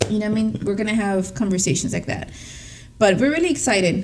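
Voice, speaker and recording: A woman's medium-pitched, animated voice with a Spanish accent, amid noticeable background noise and audible room echo. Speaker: podcast co-host. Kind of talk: casual chat.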